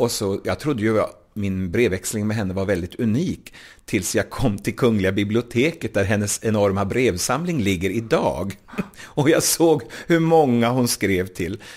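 A man's fairly low voice at a moderate pace with lively intonation. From Småland, Sweden. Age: 40s. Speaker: cabaret singer and author. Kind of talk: interview. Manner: clear diction.

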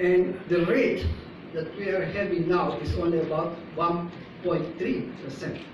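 Over noticeable background noise and audible room echo, a man with a high voice speaks very slowly in a flat monotone. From Philippines. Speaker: neurology professor. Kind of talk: conference lecture. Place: hall. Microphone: camera far.

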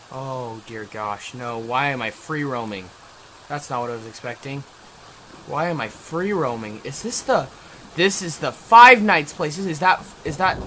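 A man at a fairly slow pace, lively intonation, big swings in loudness, light background noise. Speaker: gamer. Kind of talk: gameplay commentary. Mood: frustrated, nervous.

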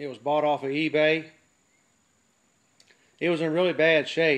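A man speaks in a monotone, flat intonation. His background is quiet. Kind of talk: casual show-and-tell commentary. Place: workshop. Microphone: phone near.

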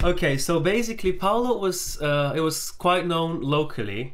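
A man's voice has a fairly bright tone and fairly high pitch.

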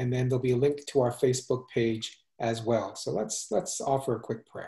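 Dark, mellow tone from a somewhat breathy man at a medium pitch and fairly quick pace, over a quiet background. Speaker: church minister; pastor hosting church conversation. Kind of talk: interview conversation. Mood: warm, gentle. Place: home room.

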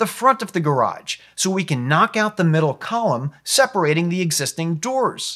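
In a quiet background, a man speaks at a fairly slow pace with lively intonation. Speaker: home renovation channel host. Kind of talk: tutorial. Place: studio. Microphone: lapel.

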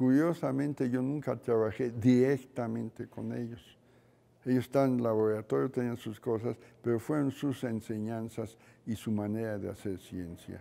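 At a moderate pace, a man speaks in a dark, mellow tone, medium in pitch with ordinary variation. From Mexico. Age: 80s+. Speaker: neuroscientist; interviewee. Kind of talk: interview. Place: studio. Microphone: lapel.

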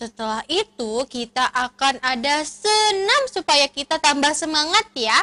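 A woman uses a raised, projected voice with a bright, sharp tone. She speaks at a fairly slow pace. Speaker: event host for preschool children. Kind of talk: cheerful presenting to children.

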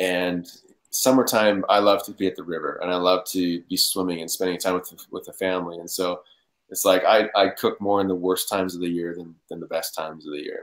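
A man with a low pitch, fairly even intonation and a fairly quick pace

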